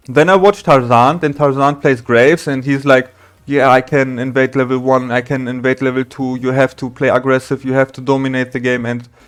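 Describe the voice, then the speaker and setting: The speech carries a German accent. It moves at a moderate pace. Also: man. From Germany. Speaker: gaming streamer. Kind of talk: casual talk to camera. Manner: halting.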